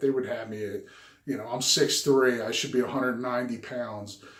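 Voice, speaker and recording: A man speaks at a medium pitch with fairly even intonation, with noticeable background noise and audible room echo. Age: 50s. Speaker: health and diet vlogger. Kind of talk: personal video diary. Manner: hesitant, many fillers.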